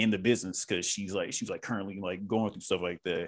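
A man with a Southern US accent and a fairly low pitch. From US South. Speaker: actor. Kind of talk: casual chat.

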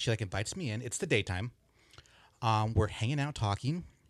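Somewhat breathy, a man with an American accent speaks at medium pitch and a fairly quick pace with lively intonation, on a very clean recording with a silent background. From Southern California. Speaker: podcast guest. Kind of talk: casual chat. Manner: halting.

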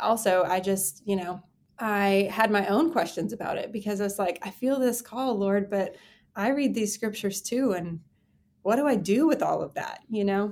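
Speaking at a moderate pace, a woman has a plain, everyday voice with a medium pitch. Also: ordinary pitch variation, very clean recording, silent background. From Texas. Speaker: pastor. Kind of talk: interview.

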